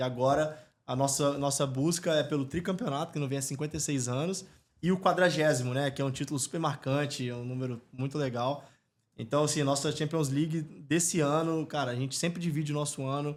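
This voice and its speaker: The speaker has an unremarkable speaking voice, moving at a fairly quick pace with fairly even intonation. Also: man, fairly high pitch for a man. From Brazil, Espírito Santo. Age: 30s. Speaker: football club executive and entrepreneur. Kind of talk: podcast interview. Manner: casual, filler-heavy.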